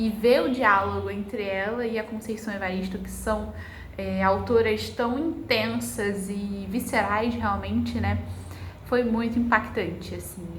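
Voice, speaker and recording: With room echo and clearly audible noise around her, a woman talks rather slowly. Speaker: book vlogger. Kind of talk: vlog narration. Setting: at home. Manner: casual.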